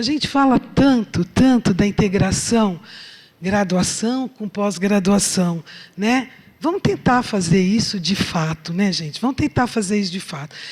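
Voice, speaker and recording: A woman speaks at a fairly slow pace, her voice somewhat breathy. Her pitch varies in an ordinary way. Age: 60s. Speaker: chemistry professor. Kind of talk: lecture. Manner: conversational, filler-heavy.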